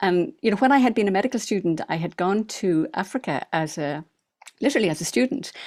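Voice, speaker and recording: In an Irish accent, a woman talks with very wide pitch swings. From Ireland. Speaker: retired doctor and author. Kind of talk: interview. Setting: studio.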